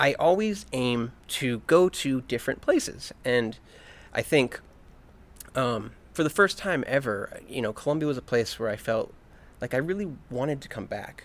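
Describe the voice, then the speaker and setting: A man with an American accent talks at a moderate pace, his medium pitch carrying lively intonation. Long, frequent pauses break up his speech on a very clean recording with a silent background. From US, Virginia near Washington DC. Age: 30s. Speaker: expat interviewee. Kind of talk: interview. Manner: hesitant with fillers.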